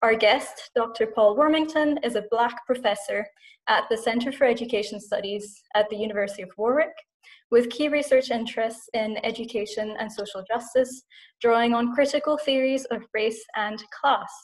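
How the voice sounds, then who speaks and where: A woman with a Scottish accent speaks at a moderate pace, her fairly high pitch carrying fairly even intonation. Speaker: podcast host and English teacher. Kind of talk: interview.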